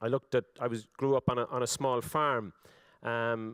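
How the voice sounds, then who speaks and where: A man with an Irish accent speaks at a moderate pace in a dry, close recording with no echo. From Ireland. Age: 40s. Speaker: politician. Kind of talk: speech. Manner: halting, many fillers and repetitions.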